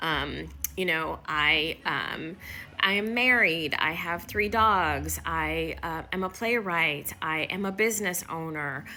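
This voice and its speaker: A woman talks at a very slow pace with a fairly low pitch, a bright, sharp tone and vocal fry. Her pitch varies in an ordinary way, and room echo is audible. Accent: Midwestern. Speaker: workplace inclusion consultant. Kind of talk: motivational talk to camera.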